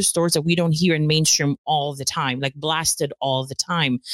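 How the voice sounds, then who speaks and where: Recorded dry and close with no echo, a woman talks at a fairly quick pace with a very deep, low pitch and ordinary pitch variation. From Philippines. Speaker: true-crime podcaster, former lawyer. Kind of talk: casual interview.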